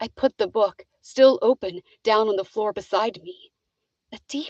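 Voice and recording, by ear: Against a quiet background, the text is read aloud in a natural voice with ordinary pitch variation.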